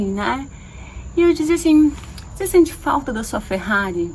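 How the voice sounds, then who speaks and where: Noticeable background noise behind a woman's high voice, swinging very widely in pitch at a moderate pace. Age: 30s. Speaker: holistic therapist and coach. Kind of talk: personal video monologue.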